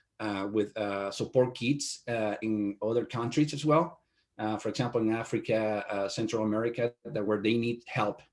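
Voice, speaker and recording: In a Spanish accent, a man with a medium pitch and fairly even intonation talks at a moderate pace on a very clean recording with a silent background. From Venezuela. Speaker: IT company owner. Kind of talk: interview. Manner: halting, many fillers.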